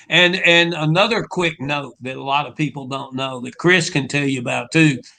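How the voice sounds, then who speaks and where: This man has a Southern US accent, a fairly high pitch, ordinary pitch variation and a bright, sharp tone. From Louisiana, Shreveport. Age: old. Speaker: rock singer. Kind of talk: casual interview chat.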